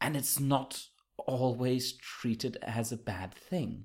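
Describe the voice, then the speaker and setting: Somewhat breathy, a man talks at a medium pitch. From Germany. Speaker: podcast host, book reviewer. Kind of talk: casual book discussion.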